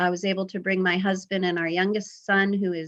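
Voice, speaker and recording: Someone with a normal speaking voice talks at a moderate pace with an American accent. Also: woman. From US, Vermont, Pennsylvania and California. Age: 50s. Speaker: public health emergency planner. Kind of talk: presentation to club. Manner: conversational, many fillers.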